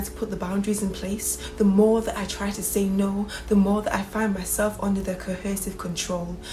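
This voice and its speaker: Over noticeable background noise, a woman speaks at a moderate pace with monotone, flat intonation. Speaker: spoken word poet. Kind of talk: spoken word poetry performance.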